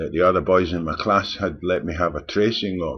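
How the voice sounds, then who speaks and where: This speaker has a Scottish accent and a moderate pace. The intonation is fairly even. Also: man. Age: 60s. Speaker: vlogger. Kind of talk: personal storytelling. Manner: halting.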